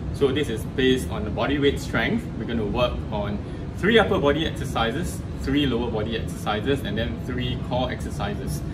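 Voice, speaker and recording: A fast-talking man amid loud background noise, at a fairly quick pace. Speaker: fitness trainer. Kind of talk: tutorial. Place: gym.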